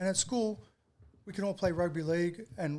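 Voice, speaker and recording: Very fast man's voice with an Australian accent and ordinary pitch variation. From Australia, Sydney. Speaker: retired heavyweight kickboxer. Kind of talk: podcast interview.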